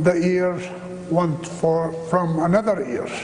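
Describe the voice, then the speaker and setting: Over noticeable background noise, a man with an Arabic accent speaks very slowly at a high pitch for a man. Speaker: minister and ministry founder. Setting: church chapel with audience.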